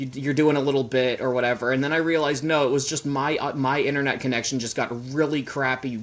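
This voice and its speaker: A man's quiet voice at medium pitch, fairly quick pace and fairly even intonation. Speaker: podcast guest. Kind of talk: casual chat.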